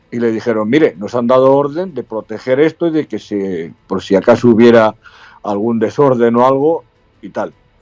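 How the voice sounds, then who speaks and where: A man's medium-pitched voice at a moderate pace, with music in the background. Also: ordinary pitch variation. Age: 70s. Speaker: retired army colonel. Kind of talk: interview.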